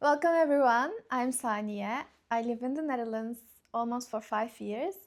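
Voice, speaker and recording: In a very clean recording with a silent background, a woman speaks with a Turkish accent. Her high pitch shows ordinary variation. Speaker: YouTuber, PhD graduate. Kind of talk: casual vlog chat. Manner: slow; halting, many fillers.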